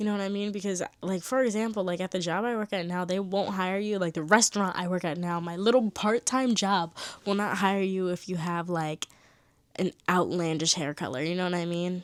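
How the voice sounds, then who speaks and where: In a very clean recording with a silent background, a woman with a normal speaking voice talks at a fairly quick pace in a medium pitch, her intonation fairly even. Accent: American. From New Jersey. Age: 20s. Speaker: college student and vlogger. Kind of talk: casual talk to camera. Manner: casual, chatty.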